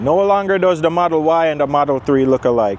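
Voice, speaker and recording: Noticeable background noise behind a man moving at a fairly quick pace, his pitch variation ordinary. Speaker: car reviewer. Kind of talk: product walkaround review.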